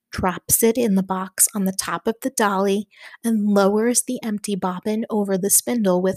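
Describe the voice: Fairly even intonation in plain reading aloud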